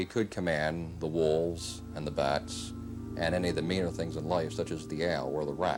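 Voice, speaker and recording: A man's very deep, low voice with an American accent, moderate pace and ordinary pitch variation, music in the background. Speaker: horror fan society founder. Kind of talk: interview answer.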